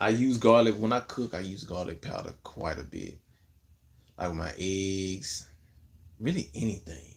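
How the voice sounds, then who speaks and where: Relaxed in tone, a man with a fairly low pitch and an American accent speaks at a fairly slow pace, with ordinary pitch variation and long, frequent pauses. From Memphis, Tennessee (US South); Tennessee. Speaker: content creator / livestreamer; live streamer. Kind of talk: casual livestream chat answering viewer comments. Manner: laid-back, relaxed. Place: home room. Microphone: phone near.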